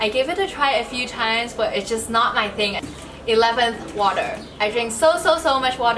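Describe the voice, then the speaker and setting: With audible room echo and noticeable background noise, a woman speaks fairly quickly at a fairly high pitch with ordinary pitch variation. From Hong Kong. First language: Cantonese. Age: 20s. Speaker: YouTuber and fitness vlogger. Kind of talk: scripted vlog talk to camera; casual chat.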